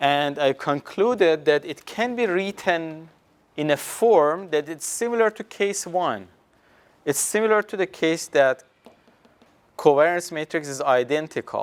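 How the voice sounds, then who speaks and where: A man with a non-native accent, fairly high in pitch, lively in intonation and fairly slow in pace. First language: not English. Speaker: university professor. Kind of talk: lecture. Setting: classroom with students. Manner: halting, with many fillers.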